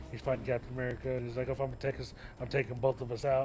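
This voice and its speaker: Music plays in the background. A man of medium pitch talks at a very fast pace. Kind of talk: casual chat. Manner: halting.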